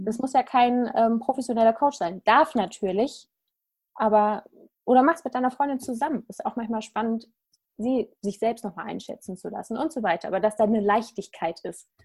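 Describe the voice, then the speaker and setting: A plain, everyday voice with ordinary pitch variation. It moves at a moderate pace. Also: woman, fairly high pitch for a woman. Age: 30s. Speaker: life coach. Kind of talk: casual interview chat.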